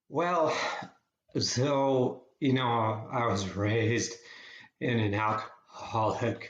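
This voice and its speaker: The man's voice sits at a medium pitch and sounds somewhat breathy. His pitch variation is ordinary, and room echo is audible. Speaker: psychotherapist. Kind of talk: interview. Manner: halting.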